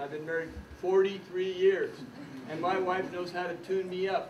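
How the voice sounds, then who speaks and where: A man speaks at a high pitch. There is audible room echo and noticeable background noise. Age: 70s. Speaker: retired judge and coach. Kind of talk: workshop talk. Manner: animated.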